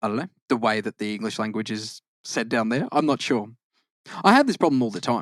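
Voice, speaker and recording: A man with an Australian accent at medium pitch and a fairly quick pace, with ordinary pitch variation, in a dry, close sound with no echo on a very clean recording with a silent background. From Australia, Queensland (born in Victoria). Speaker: podcast co-host. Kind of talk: casual chat. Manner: halting, frequent self-corrections.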